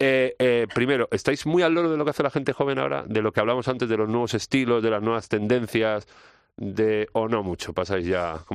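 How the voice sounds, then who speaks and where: At a fairly quick pace, a man with an unremarkable speaking voice talks at medium pitch, his intonation lively and his loudness very even. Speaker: podcast host. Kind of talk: interview.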